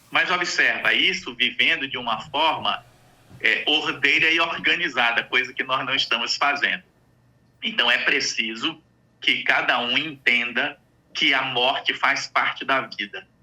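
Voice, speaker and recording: A man, using an ordinary speaking voice, delivers his words fairly slowly, his fairly high pitch showing ordinary pitch variation. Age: 60s. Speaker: psychologist. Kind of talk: radio interview.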